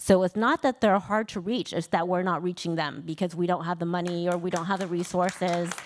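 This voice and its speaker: With hardly any pauses, a woman speaks at a fairly quick pace in a fairly low pitch and fairly even intonation. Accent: Vietnamese. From US, Vietnamese American family. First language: Vietnamese. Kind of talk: panel discussion.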